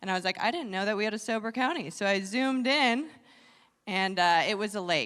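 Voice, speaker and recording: Using an ordinary speaking voice, a woman talks at a fairly quick pace with a fairly high pitch and lively intonation. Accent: American. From Wisconsin, US Upper Midwest. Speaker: comedian. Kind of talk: stand-up.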